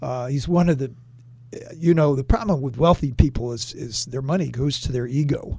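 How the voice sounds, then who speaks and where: A man's somewhat breathy, dark and mellow voice, fairly high in pitch, at a moderate pace with ordinary pitch variation. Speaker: political commentator and former Republican official. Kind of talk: radio interview on politics. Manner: formal.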